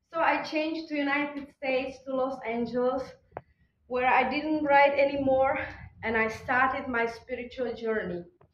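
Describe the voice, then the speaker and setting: Audible room echo surrounds a woman with a Czech accent speaking at a high pitch with fairly even intonation. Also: moderate pace. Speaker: conference speaker. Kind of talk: conference talk.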